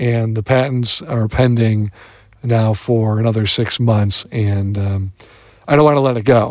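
With an American accent, a man talks at a fairly slow pace in a normal speaking voice of medium pitch and fairly even intonation. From Michigan, Detroit. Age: 40s. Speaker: podcaster. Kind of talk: informal voice log. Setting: gym, on the road.

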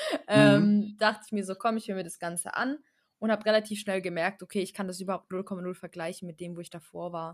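A woman with a plain, everyday voice talks at a fairly quick pace and medium pitch, her intonation fairly even but her loudness swinging widely. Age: 20s. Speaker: network marketer, former care worker. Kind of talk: casual podcast interview.

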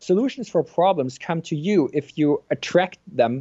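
A man with a German accent, fairly high in pitch, with lively intonation. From Germany. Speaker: neuroscientist and author. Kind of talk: interview. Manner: hesitant, many fillers and repeats.

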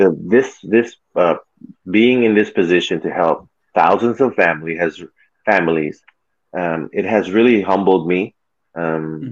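A man's very deep, low voice with ordinary pitch variation and long, frequent pauses. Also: fairly slow pace. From Philippines, raised in California. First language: Tagalog. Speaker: former basketball player, podcast guest. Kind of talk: casual interview chat.

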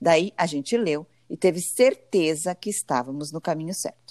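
An ordinary speaking voice with lively intonation at a moderate pace, dry and close with no echo, on a very clean recording with a silent background. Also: woman. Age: 40s. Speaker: podcast co-host, journalist. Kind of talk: casual chat; scripted intro.

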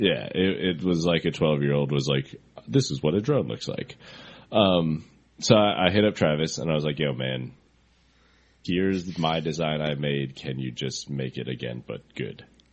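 A man with an American accent, a very deep, low pitch, vocal fry and ordinary pitch variation. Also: moderate pace. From US Pacific Northwest, Seattle. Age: 20s. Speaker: drone racing pilot. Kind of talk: casual chat.

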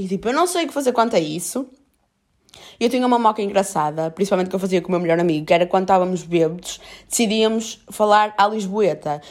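Talking at a very fast pace, a woman with a medium-pitched voice and a strong Porto accent shows ordinary pitch variation on a very clean recording with a silent background. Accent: strong northern Portuguese (Porto). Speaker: podcaster. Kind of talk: casual solo monologue. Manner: casual, filler-heavy.

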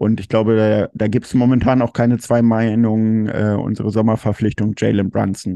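With a dark, mellow tone and a fairly low pitch, a man talks in monotone, flat intonation at a moderate pace. He leaves hardly any pauses, and the sound is dry and close with no echo. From Germany. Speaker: fan podcast host. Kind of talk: casual chat.

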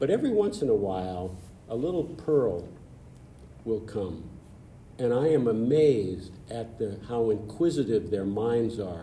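A man of medium pitch, somewhat breathy and dark and mellow in tone, speaks fairly slowly with lively intonation and long, frequent pauses as the room echoes audibly. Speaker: past club president. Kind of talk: interview storytelling. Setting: studio.

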